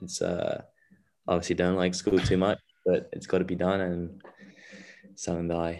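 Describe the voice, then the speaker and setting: Speaking with a London accent, a man with a very deep, low pitch talks in a flat monotone and leaves long, frequent pauses. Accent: southern English, London. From southwest London (Wimbledon), French parents. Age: young. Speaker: tennis player, student athlete. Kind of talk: interview answers, casual. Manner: hesitant, many fillers.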